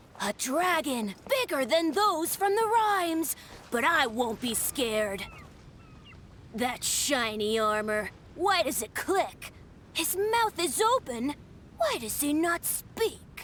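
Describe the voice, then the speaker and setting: In a put-on, high-pitched character voice with very wide pitch swings, the speaker goes at a fairly slow pace over clear background noise. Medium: video game.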